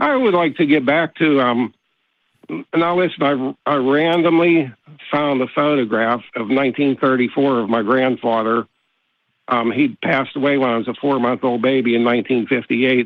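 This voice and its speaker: In an American accent, a man speaks with an ordinary speaking voice at medium pitch. His pace is moderate, with ordinary pitch variation. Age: 60s. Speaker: caller. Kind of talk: call-in discussion. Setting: phone call. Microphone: dropped phone line.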